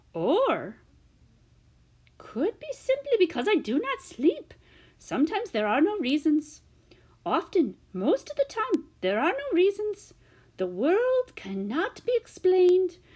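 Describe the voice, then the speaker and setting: A woman performs a put-on character voice at an extremely high pitch with very wide pitch swings. She talks at a fairly slow pace with long, frequent pauses. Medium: read story. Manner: rambling, formal foreign phrasing.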